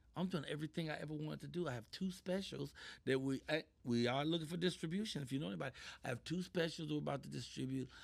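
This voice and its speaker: Very fast and animated, a man speaks. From Chicago, US. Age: 60s. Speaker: comedian and actor. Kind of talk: interview conversation. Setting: studio.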